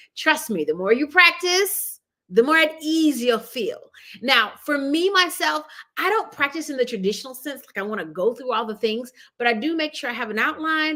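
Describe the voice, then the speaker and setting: A woman's raised, projected voice, bright and sharp in tone, with very wide pitch swings. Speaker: marketing consultant and video coach. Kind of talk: tutorial. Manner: fast; casual, conversational.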